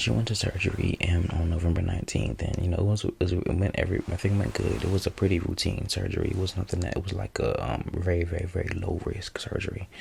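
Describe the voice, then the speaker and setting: Whispering and soft-spoken, a man talks at a very fast pace with hardly any pauses. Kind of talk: ASMR life update talk. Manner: whispered or soft-spoken.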